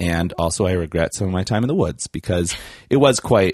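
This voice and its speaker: A man with a very deep, low pitch and a Canadian Prairies accent at a very fast pace, dry and close with no echo against a quiet background. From Canada, Saskatchewan. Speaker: comedian. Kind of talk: casual chat.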